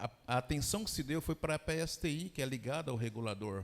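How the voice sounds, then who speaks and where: A man of medium pitch with lively intonation at a moderate pace, in a very clean recording with a silent background. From Brazil, Goiás. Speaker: fintech executive. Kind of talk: panel discussion.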